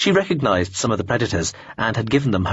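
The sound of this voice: Unforced voice reading aloud.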